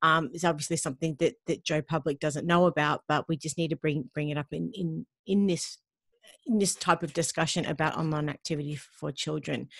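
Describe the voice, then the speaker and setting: Speaking with an Australian accent, a woman talks at a fairly quick pace in a very deep, low pitch with fairly even intonation. The sound is dry with no echo, and the background is quiet. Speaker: podcast host. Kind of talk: casual interview. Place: home room.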